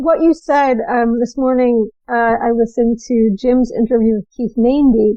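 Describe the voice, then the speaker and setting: A woman's high pitch with fairly even intonation. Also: moderate pace. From New Jersey. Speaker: podcast host. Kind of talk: interview.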